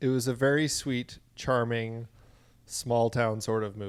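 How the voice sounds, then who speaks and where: This man has an unremarkable speaking voice at a medium pitch. He talks at a fairly slow pace. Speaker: podcast co-host. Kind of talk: film podcast discussion.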